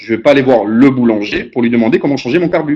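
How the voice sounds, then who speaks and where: A medium-pitched male voice with ordinary pitch variation. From southern France, Aix-Marseille region. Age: 30s. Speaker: motivational speaker, business founder. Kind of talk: motivational webinar talk. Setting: web conference call. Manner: conversational, repetitive emphasis.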